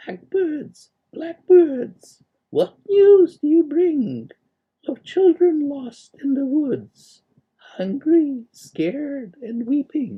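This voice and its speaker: In a high-pitched, put-on character voice, the speaker goes along at a very slow pace. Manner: calling out, beckoning.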